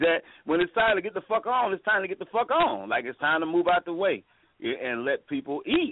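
His high-pitched voice swings very widely in pitch as a man talks at a fairly quick pace in an animated tone. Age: 40s. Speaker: radio caller. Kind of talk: casual chat. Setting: phone call.

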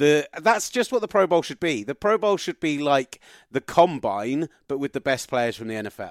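With an English accent and a fairly high pitch, a man speaks energetically at a moderate pace, with very wide pitch swings and big swings in loudness, in a dry, close sound with no echo. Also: very clean recording, silent background. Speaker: sports radio broadcaster. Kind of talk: interview.

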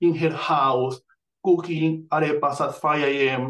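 A man is speaking. He has a Venezuelan accent. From Venezuela, Amazonas. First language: Spanish. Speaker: author and astrologer. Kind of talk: casual interview.

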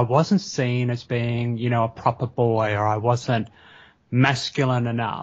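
Delivered at a moderate pace, the speech comes in an Australian accent. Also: man. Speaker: teacher educator and lecturer. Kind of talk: interview. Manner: hesitant, many fillers.

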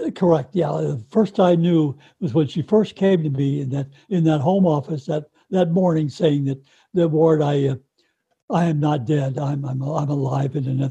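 Somewhat breathy, a man with a fairly high pitch and a dark, mellow tone speaks at a moderate pace with ordinary pitch variation. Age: 80s+. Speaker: widower and author. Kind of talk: interview. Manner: halting.

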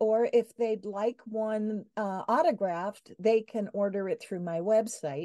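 Against a quiet background, a woman with a dark, mellow tone speaks fairly slowly at a fairly high pitch with ordinary pitch variation, in a dry, close sound with no echo. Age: 70s. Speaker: life coach and artist. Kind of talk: casual interview.

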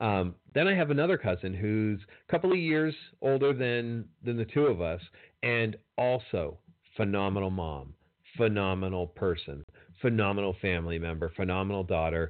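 A man's plain, everyday voice, fairly low in pitch, with lively intonation and a moderate pace. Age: 40s. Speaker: podcast host. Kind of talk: solo podcast monologue.

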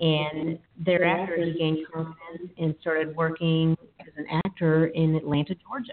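This woman has a fairly low pitch and a Texas accent. Her pace is fairly slow. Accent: Texas Southern US. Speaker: podcast host and divorce attorney. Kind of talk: casual podcast chat.

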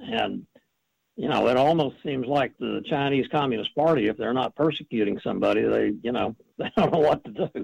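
Here a man with an American accent speaks at a fairly quick pace. The sound is dry and close, with no echo. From United States. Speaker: congressional journalist. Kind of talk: talk radio interview.

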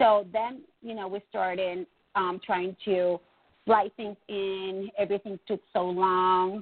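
A woman at a very slow pace, her intonation fairly even and her loudness swinging widely. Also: medium pitch for a woman. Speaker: nonprofit foundation president. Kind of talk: interview. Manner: halting.

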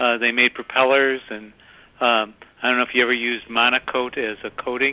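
In a normal speaking voice, this man's medium pitch holds to fairly even intonation. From Chicago. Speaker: author and workplace consultant. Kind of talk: radio interview.

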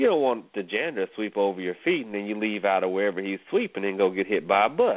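Talking at a very fast pace with hardly any pauses, a man with a Southern US accent uses an animated tone, a fairly low pitch and ordinary pitch variation. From US South. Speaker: radio host. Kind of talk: casual chat.

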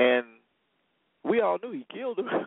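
The speaker is a man with an American accent. He talks at a fairly slow pace. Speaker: radio host. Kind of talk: talk radio show, opening patter with stock promos and a loose, jokey monologue. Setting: studio. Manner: animated; casual and slangy.

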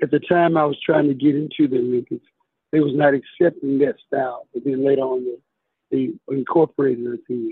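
A man with a Southern US accent talks at a fairly quick pace, fairly high in pitch, with fairly even intonation. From US South (Tuscaloosa, Alabama). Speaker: police officer and karate champion. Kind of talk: interview.

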